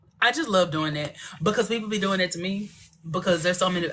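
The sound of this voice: A very fast pace with a Southern US accent. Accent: country, Southern twang.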